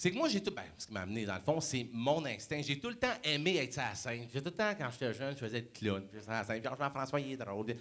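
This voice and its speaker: At a very fast pace with hardly any pauses, a man of medium pitch speaks with lively intonation. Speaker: motivational speaker. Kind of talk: motivational talk. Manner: animated.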